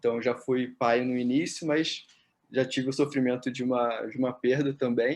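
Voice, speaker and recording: Against a quiet background, a man with a medium pitch speaks in a monotone, flat intonation. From Brazil, Rio de Janeiro. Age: 30s. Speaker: physiotherapist and psychotherapist. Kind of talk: interview. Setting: at home.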